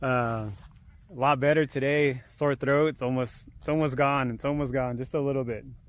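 A man talks at a moderate pace with fairly even intonation, the sound dry with no echo. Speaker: fishing vlogger. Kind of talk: casual vlog chat. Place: waterside. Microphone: phone near.

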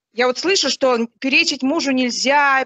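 A woman's high-pitched, raised and projected voice with a bright, sharp tone, over a quiet background. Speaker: mother of two sons, churchgoer. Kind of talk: question to a religious teacher. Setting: online group call. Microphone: video call.

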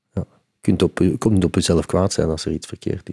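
Very fast and fairly even in intonation, a man talks with a very deep, low pitch and a dark, mellow tone against a quiet background. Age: 50s. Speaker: concert venue executive; podcast guest. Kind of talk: interview. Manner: halting. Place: studio. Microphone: studio mic.

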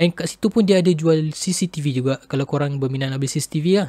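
Against a quiet background with dry sound and no echo, a man with a fairly high pitch and ordinary pitch variation speaks at a very fast pace in a dark, mellow, somewhat breathy tone. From Malaysia. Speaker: YouTuber, tech reviewer; tech reviewer. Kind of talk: product review. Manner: casual. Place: home room. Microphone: built-in webcam microphone; studio mic.

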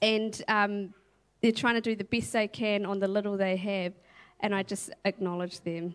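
This woman's voice is fairly high and flat, in a monotone. She speaks at a moderate pace. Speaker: church member, mother. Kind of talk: testimony. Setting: church stage. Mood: reflective, warm, earnest. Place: stage. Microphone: handheld.

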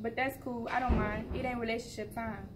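Over noticeable background noise, a woman talks at a fairly quick pace in a fairly high pitch with a playful, confident tone. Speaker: open mic poet. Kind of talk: spoken word poetry performance, rhythmic rhyming verse about love and hustle. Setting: open mic event. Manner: rhythmic, rhyming cadence with playful, confident, animated delivery. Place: hall. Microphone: camera far.

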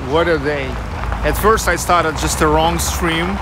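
A man speaks at a fairly slow pace. The sound is dry with no echo, set against loud background noise. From Russia. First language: Russian. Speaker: tour guide streamer. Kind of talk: live walking tour commentary. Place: street. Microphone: phone near.

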